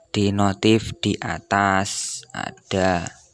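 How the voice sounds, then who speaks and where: A man with a fairly low pitch is heard in a dry recording with no echo. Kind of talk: tutorial. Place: home room.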